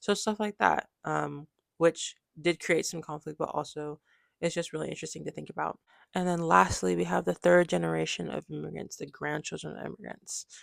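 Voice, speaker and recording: A woman speaks with an American accent and big swings in loudness. The recording is very clean, with a silent background. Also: fairly quick pace. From US, Nigerian immigrant family. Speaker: student presenter. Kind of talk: class presentation. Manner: casual, many fillers like 'like' and 'um'.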